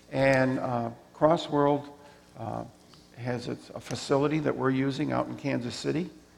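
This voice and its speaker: Monotone, flat intonation marks this man's medium-pitched speech. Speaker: missionary. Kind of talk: missionary report to a congregation. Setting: church.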